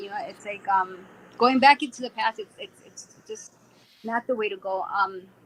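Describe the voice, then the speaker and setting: A plain, everyday voice with an American accent, lively intonation and a moderate pace. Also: woman. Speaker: online show host. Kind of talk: casual chat.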